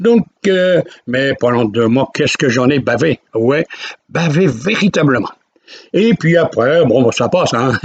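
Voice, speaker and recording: A man at a very slow pace with long, frequent pauses, fairly high pitch, lively intonation and very even loudness. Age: 80s+. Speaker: retired storyteller vlogger. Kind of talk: personal storytelling. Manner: casual, conversational.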